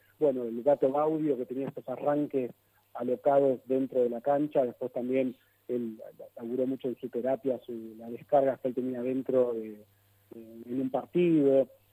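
With a Rioplatense accent, the voice has a dark, mellow tone and monotone, flat intonation at a moderate pace. Loudness swings widely in a dry, close sound with no echo. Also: man, medium pitch for a man. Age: 50s. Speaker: psychologist. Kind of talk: interview. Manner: halting.

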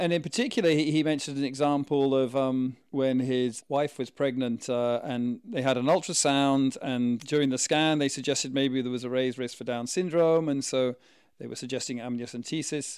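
Recorded very cleanly over a silent background, a man with a plain, everyday voice keeps a moderate pace, medium pitch and fairly even intonation, with hardly any pauses. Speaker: podcast co-host. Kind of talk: casual chat.

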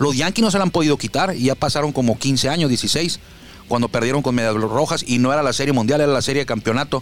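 Against noticeable background noise, a man with a fairly high voice talks at a very fast pace in an animated tone, his loudness very even. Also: ordinary pitch variation. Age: 40s. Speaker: sports radio host. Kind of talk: casual sports talk.

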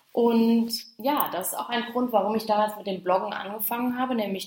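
Over noticeable background noise, a woman talks at a moderate pace. Her pitch is fairly high with ordinary variation. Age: 20s. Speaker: podcast host, social media coach. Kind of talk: solo podcast monologue.

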